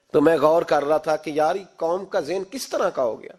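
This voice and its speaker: A man speaks in a passionate tone. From Pakistan. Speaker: Islamic scholar and preacher. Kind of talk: Islamic sermon (bayan) to a congregation. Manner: passionate, emphatic, preaching tone.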